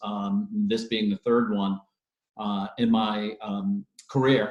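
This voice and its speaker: Fairly even in intonation, this man speaks at a fairly low pitch. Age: 50s. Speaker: mortgage loan officer. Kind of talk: interview. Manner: halting with many fillers.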